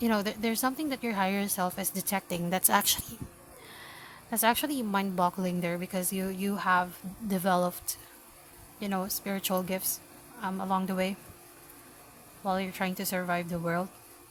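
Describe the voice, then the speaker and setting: A woman speaks with a Filipino accent at a medium pitch. Her intonation is fairly even, with long, frequent pauses. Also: fairly quick pace. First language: Filipino language. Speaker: tarot reader. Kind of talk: tarot reading. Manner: halting.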